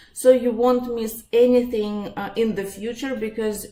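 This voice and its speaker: A woman speaks with a Russian accent. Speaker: psychologist and life coach. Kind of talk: webinar presentation. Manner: halting, many fillers.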